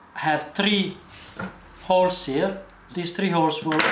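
A man is speaking while noticeable noise sits in the background. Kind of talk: tutorial.

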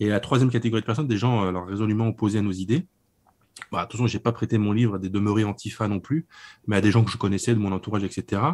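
Fairly even in intonation and fairly low in pitch, a man's speech goes very fast. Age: 30s. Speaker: book publisher and author. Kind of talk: interview on political book. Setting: remote call over internet.

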